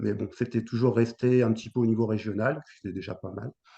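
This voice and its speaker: Delivery is monotone and flat, with vocal fry. The tone is dark and mellow. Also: man. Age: 60s. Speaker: retired para table tennis player. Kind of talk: interview. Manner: hesitant, many fillers.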